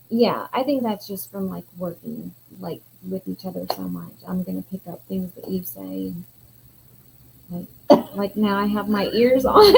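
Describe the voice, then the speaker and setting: A woman with a slight Southern US accent at a fairly slow pace, with long, frequent pauses. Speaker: yarn business co-owner and livestream co-host. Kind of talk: casual chat.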